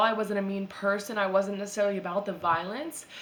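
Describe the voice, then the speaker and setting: The speech runs at a fairly quick pace with audible room echo. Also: woman. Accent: American. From US Midwest, Chicago suburbs. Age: 20s. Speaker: vlogger. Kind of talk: personal vlog monologue. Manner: casual, filler-heavy.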